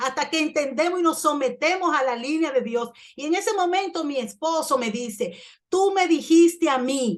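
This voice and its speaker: Her pitch high, a woman talks at a moderate pace. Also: lively intonation. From Dominican Republic. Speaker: pastor. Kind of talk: sermon. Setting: church.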